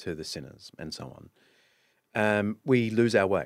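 A man talks at a moderate pace. His pitch is fairly low. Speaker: author and historian. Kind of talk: casual interview chat. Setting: studio.

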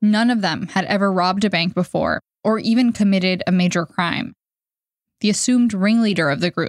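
A woman with a plain, everyday voice talks at a moderate pace and medium pitch, recorded very cleanly against a silent background with a dry, close sound and no echo. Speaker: podcast narrator and reporter. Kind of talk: scripted narration.

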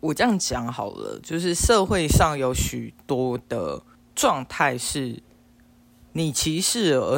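A man speaks at a fairly high pitch for a man in a very clean recording with a silent background. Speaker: podcast co-host. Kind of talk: casual chat.

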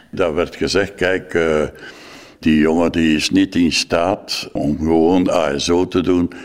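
A man's very deep, low voice at a very slow pace, monotone and flat in intonation, with very even loudness. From West Flanders, Belgium. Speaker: former foster parent. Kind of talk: interview testimony.

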